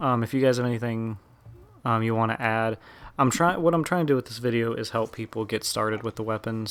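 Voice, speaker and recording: A man is speaking. His voice is quiet. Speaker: gaming YouTuber. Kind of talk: gameplay commentary. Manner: monotone.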